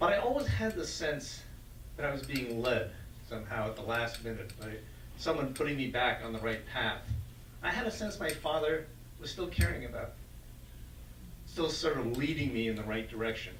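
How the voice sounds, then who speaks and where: At a moderate pace and with long, frequent pauses, a man talks with an American accent over noticeable background noise and audible room echo. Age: 70s. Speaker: event organizer. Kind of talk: welcoming remarks and group facilitation.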